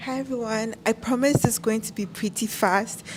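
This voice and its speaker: A woman talks at a moderate pace, her fairly high voice showing ordinary pitch variation, with noticeable background noise behind her. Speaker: conference speaker. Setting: stage.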